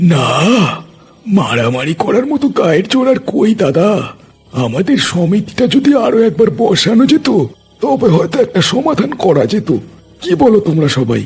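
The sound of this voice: In a cartoonish character voice, the speaker moves at a moderate pace with very wide pitch swings. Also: man, high pitch for a man, very even loudness.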